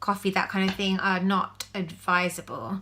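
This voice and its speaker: A woman with an English accent, medium in pitch, bright and sharp in tone, at a moderate pace. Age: 30s. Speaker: vlogger. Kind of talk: casual video diary. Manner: hesitant with fillers.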